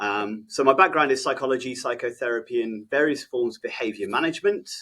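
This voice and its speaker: A man with an English accent talks at a very fast pace in a bright, sharp tone, with ordinary pitch variation. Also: medium pitch for a man. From England. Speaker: behaviour specialist and trainer. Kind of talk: podcast interview. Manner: hesitant, many fillers.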